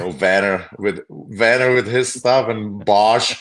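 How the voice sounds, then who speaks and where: A man talks with a Czech accent. His pitch varies in an ordinary way. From Czech Republic. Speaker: former pro hockey player. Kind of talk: casual chat.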